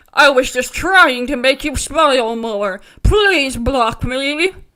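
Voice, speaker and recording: This female-sounding voice is a put-on character voice, high in pitch and delivered at a fairly slow pace. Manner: creepy, pleading.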